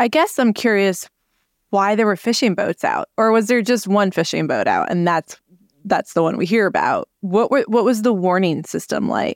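A plain, everyday voice belongs to a woman of medium pitch, speaking at a moderate pace with ordinary pitch variation and very even loudness. The recording is very clean with a silent background, and the sound is dry and close with no echo. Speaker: meteorologist podcast host. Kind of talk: casual interview chat.

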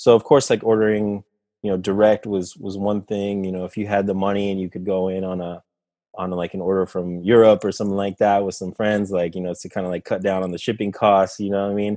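A man's fairly low, dark, mellow voice at a very fast pace, monotone and flat, over a quiet background. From Costa Rica. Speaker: streaming service representative and DJ. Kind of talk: casual interview chat.

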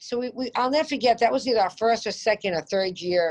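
A woman with a Boston accent talks at a moderate pace, her fairly high pitch moving in lively intonation. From Boston area, Massachusetts. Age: 50s. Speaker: home builder. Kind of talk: interview. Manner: animated.

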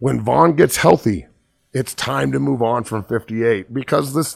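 Vocal fry colors a man's medium-pitched voice in a very clean recording with a silent background. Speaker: sports podcast host and former NFL player. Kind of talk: casual sports talk show. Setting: studio. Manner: animated.

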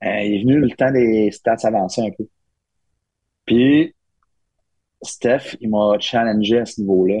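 The speech moves at a very slow pace with long, frequent pauses, a dark, mellow tone and ordinary pitch variation. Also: man. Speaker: hockey assistant coach. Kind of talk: casual chat.

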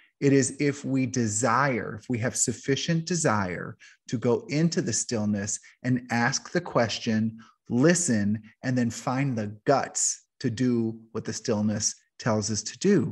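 With an ordinary speaking voice, a man talks fairly slowly at medium pitch with ordinary pitch variation, and the background is quiet. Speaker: podcast host and coach. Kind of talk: casual interview chat.

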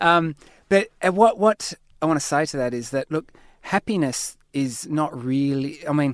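A man with an Australian accent in a dry, close sound with no echo. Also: very clean recording, silent background. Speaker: lifestyle medicine academic and author. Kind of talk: interview.

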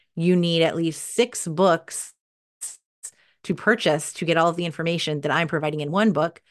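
A woman's normal speaking voice, fairly low in pitch, at a moderate pace with fairly even intonation against a quiet background. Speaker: podcast PR agency founder and author. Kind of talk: casual interview chat.

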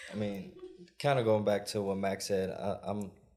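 There's audible room echo as a man with an American accent speaks in a dark, mellow tone. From US Midwest, Milwaukee, Wisconsin. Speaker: entrepreneur. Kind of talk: live panel discussion. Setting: stage with live audience.

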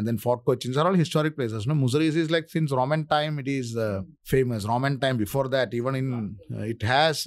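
With a Keralan accent, a man speaks at medium pitch and a moderate pace. His pitch variation is ordinary. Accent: Indian English, Malayali. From India, Kerala. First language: Malayalam. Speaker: author and scriptwriter. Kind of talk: casual interview. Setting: studio.

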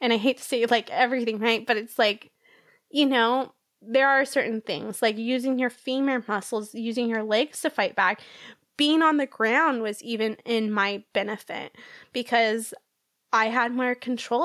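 At a moderate pace, a woman with an ordinary speaking voice and a fairly high pitch shows ordinary pitch variation on a very clean recording with a silent background. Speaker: violent crime survivor. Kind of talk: personal testimony in interview.

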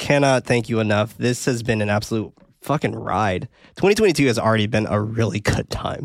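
Here a man speaks at medium pitch. His pitch varies in an ordinary way. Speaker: horror movie podcast host. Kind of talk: casual chat. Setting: live recording on Discord. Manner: fast; animated.

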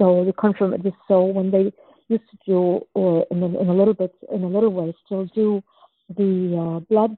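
Speaking at a moderate pace, a woman keeps her medium-pitched voice monotone and flat. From Germany, born in Czechoslovakia. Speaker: anthropologist and author. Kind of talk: interview. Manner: halting.

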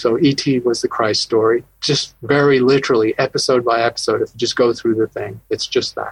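Fairly quick delivery with hardly any pauses, in a dry, close sound with no echo. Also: man. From UK and US, born in Scotland. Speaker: astronomy professor. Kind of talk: interview.

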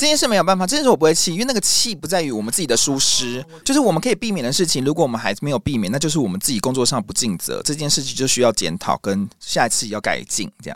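A man's fairly high voice at a very fast pace with hardly any pauses and very wide pitch swings, amid noticeable background noise. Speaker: YouTube music show host. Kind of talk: interview conversation. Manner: fast-paced.

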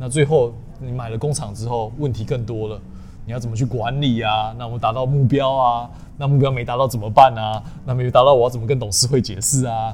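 Speaking fairly quickly, a man uses a normal speaking voice at medium pitch with fairly even intonation. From southern Taiwan, Tainan. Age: 30s. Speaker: finance manager, YouTuber. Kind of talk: interview. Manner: casual, code-switching with English terms.

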